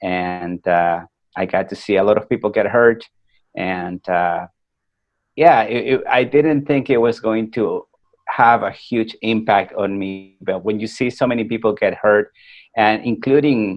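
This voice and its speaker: Speaking at a fairly slow pace, a man keeps a medium pitch with ordinary pitch variation. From Peru, then US from age 14. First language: Spanish. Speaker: war veteran and motivational speaker. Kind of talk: podcast interview, personal story. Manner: hesitant, many fillers.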